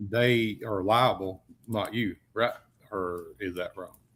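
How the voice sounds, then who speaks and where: The speaker is a man with a Southern US accent. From US South. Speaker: podcast co-host. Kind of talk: podcast interview.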